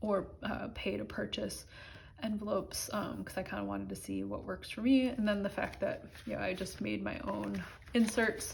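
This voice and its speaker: This woman talks at a moderate rate, with room echo clearly audible. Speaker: budgeting vlogger. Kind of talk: casual chat.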